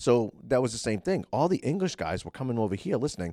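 A man with an American accent talks at a very fast pace in a medium pitch, with vocal fry and very wide pitch swings. The recording is very clean, with a silent background. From Massachusetts. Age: 40s. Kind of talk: casual chat. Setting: office at the state house.

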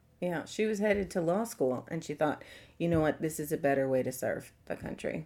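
A woman with an American accent speaks at a fairly quick pace. Her very deep, low voice has a dark, mellow tone and ordinary pitch variation. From New York City and Long Island. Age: 40s. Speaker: writer, former cult member. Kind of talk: interview testimony.

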